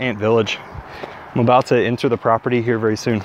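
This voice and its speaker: A man is speaking. The sound is dry, with no echo and light background noise. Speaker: vlogger on a walk. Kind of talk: casual vlog chat. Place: forest. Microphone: earbuds.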